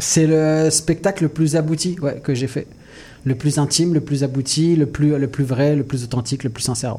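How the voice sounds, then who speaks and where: Speaking at a moderate pace, a man with a fairly high pitch has a dark, mellow tone, a somewhat breathy quality and fairly even intonation. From Mauritius. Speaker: comedian. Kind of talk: comedic radio chat. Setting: studio.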